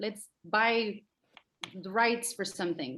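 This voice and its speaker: Lively intonation runs through this woman's speech. She talks with a Spanish accent. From Mexico City. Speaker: actor and director. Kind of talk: interview. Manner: halting.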